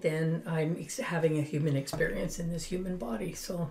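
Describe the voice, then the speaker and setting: A woman's very deep, low voice, with noticeable background noise and audible room echo. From Finland. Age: 70s. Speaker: spiritual guide and business owner. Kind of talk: interview.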